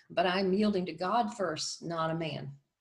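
A plain, everyday voice from a woman, medium in pitch, with ordinary pitch variation and at a moderate pace. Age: 60s. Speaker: domestic abuse ministry director and survivor. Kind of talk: interview.

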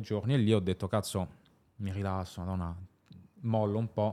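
Speaking fairly quickly with a German accent, a man uses a fairly low pitch and fairly even intonation on a very clean recording with a silent background. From Luxembourg. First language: German (speaking Italian). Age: 20s. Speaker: entrepreneur. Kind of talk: interview.

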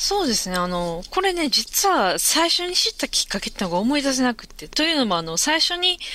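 A woman speaks in a raised, projected voice with a bright, sharp tone and a high pitch. Her pitch swings very widely, and her pace is fairly quick. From Osaka, Japan. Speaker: novelist. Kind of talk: casual interview chat. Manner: hesitant, many fillers.

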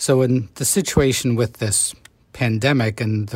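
A man's voice, somewhat breathy, with ordinary pitch variation. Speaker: doctor. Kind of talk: interview.

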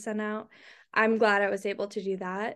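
A woman with a normal speaking voice talks fairly quickly at a fairly high pitch with fairly even intonation, against a quiet background. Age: 20s. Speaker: content creator. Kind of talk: casual chat.

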